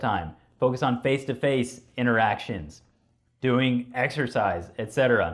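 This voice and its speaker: This man has a normal speaking voice at a medium pitch. He talks at a fairly slow pace with ordinary pitch variation. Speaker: clinical psychologist giving a talk. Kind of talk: lecture.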